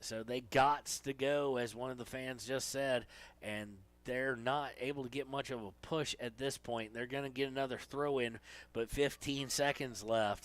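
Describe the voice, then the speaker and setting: Fairly even intonation in an Appalachian accent at a moderate pace, in a very clean recording with a silent background. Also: man, medium pitch for a man. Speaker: sports play-by-play announcer. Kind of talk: live commentary.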